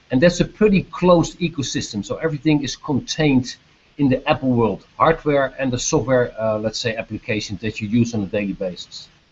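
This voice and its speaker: With a Dutch accent, a man speaks at a fairly quick pace in a medium pitch, his voice somewhat breathy and his intonation lively. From Netherlands. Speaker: business executive. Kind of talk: video chat Q&A with students. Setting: video call. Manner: hesitant, many fillers.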